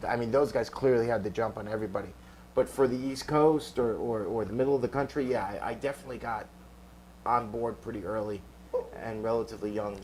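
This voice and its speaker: Here a man talks very fast in a New York accent. His pitch is medium and his intonation fairly even. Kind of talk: interview. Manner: halting, many repeated words.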